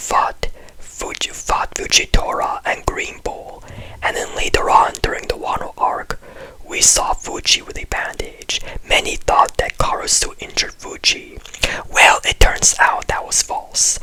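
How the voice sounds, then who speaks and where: Over noticeable background noise comes fairly slow whispering. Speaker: anime commentary youtuber. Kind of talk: video essay commentary. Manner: very quiet.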